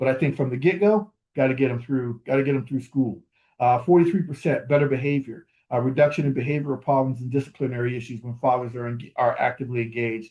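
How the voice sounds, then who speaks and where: Somewhat breathy, a man speaks at a very fast pace and medium pitch with ordinary pitch variation. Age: 60s. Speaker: fatherhood program leader, conference speaker. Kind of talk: conference keynote presentation.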